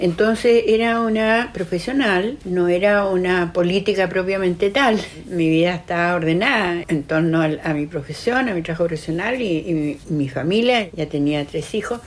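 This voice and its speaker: A woman at medium pitch, moderate pace and lively intonation, with hardly any pauses and noticeable background noise. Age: 80s+. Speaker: psychiatrist. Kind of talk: testimony. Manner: halting, with repetitions.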